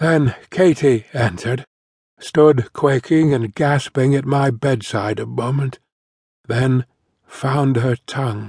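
A very slow, solemn, somewhat breathy male voice with ordinary pitch variation. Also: medium pitch for a man. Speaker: audiobook narrator. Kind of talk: audiobook reading of a grief-stricken memoir, eulogy-like. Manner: solemn, mournful, slow and tender; halting, emotionally heavy, with quiet pathos.

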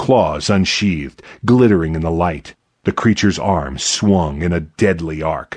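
With a dramatic tone, a man speaks fairly slowly in a very deep, low pitch, showing ordinary pitch variation against a quiet background. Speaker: audiobook narrator. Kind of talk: scripted fantasy audiobook narration, first person. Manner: tense, hushed, dramatic pacing that builds to action.

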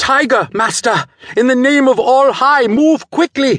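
In a put-on character voice, someone shouts in a shrill, high pitch at a fairly slow pace. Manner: urgent, shouting a warning.

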